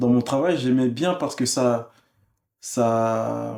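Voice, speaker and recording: A man's dark, mellow voice at medium pitch, very slow, with ordinary pitch variation. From France, Congolese family. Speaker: musician. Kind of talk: interview. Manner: hesitant, many fillers.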